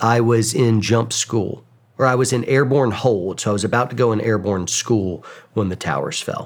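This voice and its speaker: This man has a normal speaking voice with an American accent and medium pitch. He talks at a moderate pace with ordinary pitch variation. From US South, Georgia (Atlanta suburbs). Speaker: war veteran and YouTuber. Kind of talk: interview conversation.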